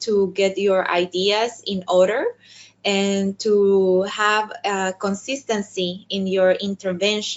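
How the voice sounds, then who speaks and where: At a very slow pace, a woman with a Spanish accent speaks at medium pitch. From El Salvador. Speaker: diplomat. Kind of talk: webinar talk. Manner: halting, with many fillers and repetitions.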